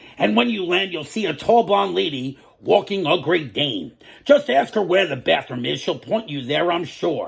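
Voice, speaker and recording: A man's put-on character voice, fairly high-pitched with very wide pitch swings, on a very clean recording with a silent background. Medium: read story. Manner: breezy, talkative.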